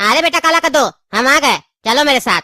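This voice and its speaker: A cartoonish character voice rattles along at a high pitch and a very fast pace. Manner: lecturing, bossy.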